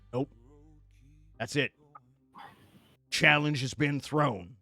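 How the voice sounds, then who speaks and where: A man's put-on character voice, raspy and fairly high-pitched, at a very slow pace, with a dry, close sound with no echo and faint music in the background. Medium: actual play. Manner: gruff, indignant.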